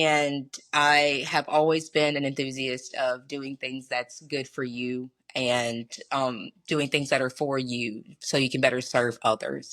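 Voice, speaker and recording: A woman speaks at a very slow pace with a Southern US accent. Her very deep, low pitch stays in a monotone, flat intonation. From US South, Mississippi (Pontotoc). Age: 20s. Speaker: math teacher. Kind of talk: casual interview.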